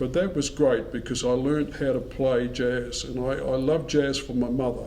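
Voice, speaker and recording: A man with a New Zealand accent, fairly even intonation, noticeable background noise and audible room echo. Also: medium pitch for a man, moderate pace. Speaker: musician. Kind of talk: interview.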